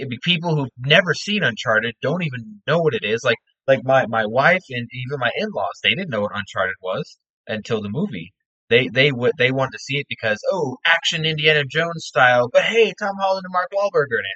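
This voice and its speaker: A man with a fairly high pitch, very wide pitch swings, and a fairly quick pace. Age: 20s. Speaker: podcast co-host. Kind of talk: casual chat.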